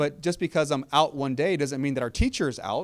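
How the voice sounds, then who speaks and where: Pitched fairly high, this man has an ordinary speaking voice with ordinary pitch variation. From Texas, South Austin. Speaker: school district superintendent. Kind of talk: community meeting Q&A.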